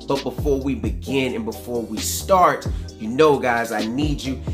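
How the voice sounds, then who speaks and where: Clear music sounds in the background. The talking keeps a moderate pace. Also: man. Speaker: hair care vlogger. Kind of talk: casual vlog chat. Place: home room.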